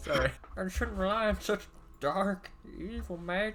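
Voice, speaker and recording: A man performs in a put-on character voice. Clear background noise runs behind him. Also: moderate pace. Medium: game stream. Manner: put-on changed voice.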